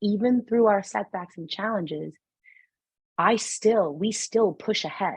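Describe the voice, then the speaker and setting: A woman with a strong New York accent, ordinary pitch variation and a moderate pace. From New York City. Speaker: numerologist and spiritual guide. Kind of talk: podcast interview conversation. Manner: animated.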